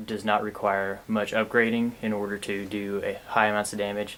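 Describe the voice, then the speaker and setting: Quietly and with monotone, flat intonation, a man speaks in a fairly low pitch. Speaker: gaming commentator. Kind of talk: let's play commentary. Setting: at home late at night.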